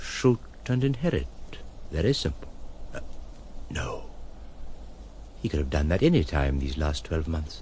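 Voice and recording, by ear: In a put-on character voice with a slightly mellow tone, the speaker moves at a fairly slow pace, making big pitch swings and long, frequent pauses. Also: man, extremely low pitch for a man.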